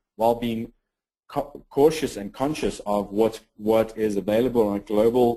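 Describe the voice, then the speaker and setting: A man with a South African accent, a dark, mellow tone, medium pitch and a fairly quick pace. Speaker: health informatics program director. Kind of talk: webinar presentation.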